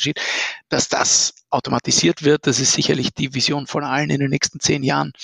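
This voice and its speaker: This man talks at a very fast pace with a fairly high pitch. The sound is dry and close, without echo. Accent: Austrian. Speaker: startup founder and CEO. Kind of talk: interview about his software product.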